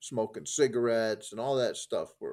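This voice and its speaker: Fairly slow speech from a man, on a very clean recording against a silent background. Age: 60s. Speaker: poker coach. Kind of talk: interview conversation. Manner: halting, many restarts.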